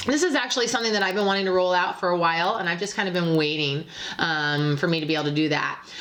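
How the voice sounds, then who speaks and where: Speaking at a very fast pace with lively intonation and very even loudness, a woman with a fairly low pitch is heard through audible room echo and noticeable background noise. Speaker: psychic tarot reader. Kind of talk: tarot reading monologue. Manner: hesitant, many fillers.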